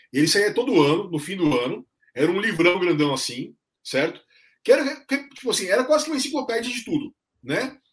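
His pitch high and swinging very widely, a man talks at a fairly quick pace. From São Paulo state, ABC region (São Bernardo do Campo). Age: 40s. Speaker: journalist and content creator. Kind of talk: casual chat. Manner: hesitant, many fillers and repetitions.

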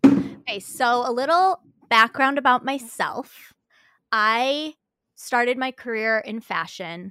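Over music in the background, a woman with a high pitch speaks very slowly and with lively intonation, in a dry, close sound with no echo. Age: 30s. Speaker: podcaster and stylist. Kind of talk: casual chat.

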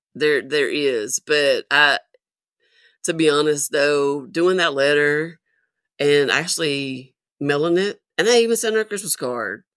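In a Southern US accent, a woman talks at a very slow pace with a very deep, low pitch and ordinary pitch variation. The sound is dry and close, with no echo. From US South. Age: 50s. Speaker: military veteran. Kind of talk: casual chat. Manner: halting.

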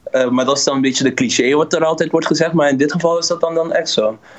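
Noticeable background noise sits behind a man who speaks very fast at a fairly high pitch. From Dutch Caribbean (Curaçao, Bonaire). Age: 30s. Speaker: musician. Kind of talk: interview.

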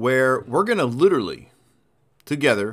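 Energetic in tone, a man speaks at a medium pitch with very wide pitch swings. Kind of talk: motivational pep talk, urging listeners to get back to work. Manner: energetic, punchy, emphatic, coach-like; direct, second-person, rallying with short commands.

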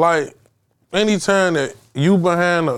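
The speaker is a man. His pitch is high. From Chicago, South Side (Englewood). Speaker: DJ and music producer. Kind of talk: casual interview. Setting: studio.

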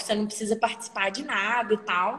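A woman speaks over noticeable background noise. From Brazil, Minas Gerais (small town). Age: 20s. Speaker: economics student and traveler. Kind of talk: casual interview.

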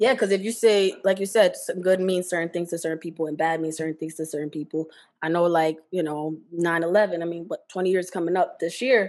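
A woman speaks in an ordinary speaking voice, fairly low-pitched for a woman, with fairly even intonation. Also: fairly quick pace. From Jersey City, New Jersey. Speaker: podcast co-host. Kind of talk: casual chat.

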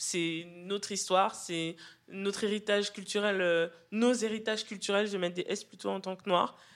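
A woman at medium pitch with monotone, flat intonation and a fairly slow pace, in a very clean recording with a silent background. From Western Europe, Cameroonian heritage. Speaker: poet. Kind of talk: public book club discussion. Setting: live venue with audience. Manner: hesitant, many repetitions.

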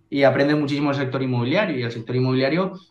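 Audible echo from the room surrounds a man as he talks. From Spain, Valencia. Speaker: real estate investor. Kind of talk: interview.

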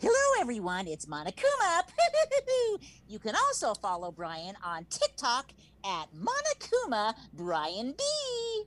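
Putting on a character voice, a female-sounding speaker uses a menacing tone at a fairly high pitch and a fairly slow pace. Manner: menacing, mischievous.

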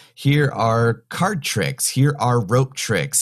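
With an American accent, a man shows vocal fry and very wide pitch swings on a very clean recording with a silent background. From North Carolina mountains. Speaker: mentalist, stage magician. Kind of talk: interview, casual chat.

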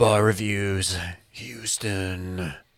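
A man uses a put-on character voice with a fairly low pitch. His intonation stays fairly even. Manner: hyped, booming promo delivery.

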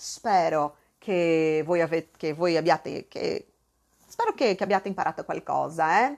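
Against a quiet background, a woman with fairly low pitch sounds animated, using ordinary pitch variation. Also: fairly slow pace. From southern Brazil. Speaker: Italian language teacher. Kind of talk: online language class.

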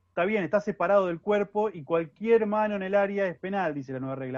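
A man talks very fast at a high pitch, with lively intonation. The sound is dry and close, without echo. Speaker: sports journalist. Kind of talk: casual football analysis chat.

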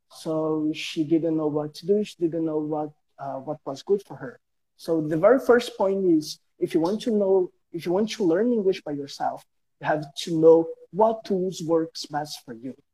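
A man's high-pitched, dark and mellow voice in a Brazilian accent, with ordinary pitch variation and a dry, close sound with no echo. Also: moderate pace, big swings in loudness. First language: Portuguese. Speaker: guest English learner. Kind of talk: casual interview. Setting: Instagram live stream. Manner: halting.

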